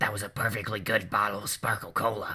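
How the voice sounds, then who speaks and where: A man puts on a raspy character voice at a fairly low pitch. He talks at a very fast pace. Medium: read story. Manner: dry, sardonic.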